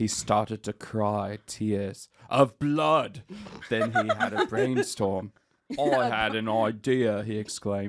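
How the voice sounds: This is a natural reading voice. Pitch varies in an ordinary way.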